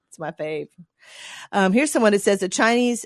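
Over a quiet background with a dry, close sound and no echo, a woman with a normal speaking voice talks at medium pitch and a moderate pace. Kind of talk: radio dj patter: relaxed co-host banter, reading listener texts on air between jokes. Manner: chatty, wry and playful, riffing and laughing along while reading out listener messages.

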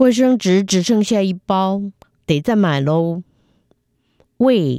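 The voice has a dark, mellow tone, heard in a dry, close sound with no echo. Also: woman. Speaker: Chinese language teacher. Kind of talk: reading aloud. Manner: slow, clear enunciation.

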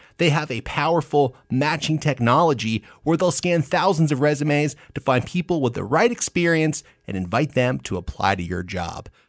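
A man's fairly high voice with very wide pitch swings and vocal fry, at a moderate pace with hardly any pauses. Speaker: podcast co-host. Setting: studio.

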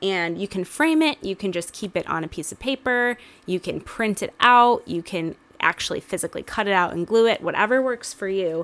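Talking at a fairly quick pace, a woman with a normal speaking voice uses lively intonation at a medium pitch. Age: 20s. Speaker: podcast co-host. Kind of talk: casual chat.

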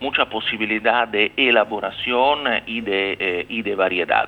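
A man's medium-pitched voice at a fairly slow pace, with ordinary pitch variation and noticeable background noise. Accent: Italian. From Rome, Italy. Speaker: consul general. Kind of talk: radio interview. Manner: halting, hesitant.

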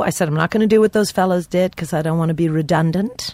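Speaking at a medium pitch with ordinary pitch variation, a woman uses a plain, everyday voice. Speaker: stand-up comedian. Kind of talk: casual comedy banter with storytelling.

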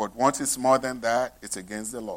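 This man speaks with a Nigerian accent. His intonation is fairly even. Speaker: pastor. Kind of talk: sermon. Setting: church.

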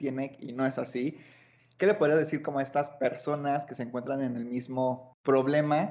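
Speaking at a moderate pace, a man uses a normal speaking voice with a fairly high pitch. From Guanajuato, Mexico. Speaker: podcast host. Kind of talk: casual chat.

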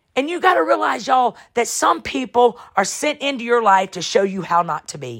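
A woman's voice with vocal fry, very wide pitch swings and big swings in loudness. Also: medium pitch for a woman, moderate pace, hardly any pauses. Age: 40s. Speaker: pastor and podcast host. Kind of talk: motivational preaching monologue. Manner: animated.

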